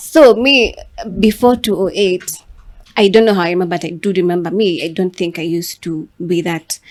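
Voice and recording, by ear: A woman speaks at a moderate pace in a fairly low pitch. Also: ordinary pitch variation.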